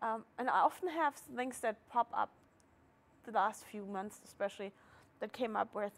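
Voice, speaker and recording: A woman talks in a German accent. Her pace is moderate. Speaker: market organizer. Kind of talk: casual interview.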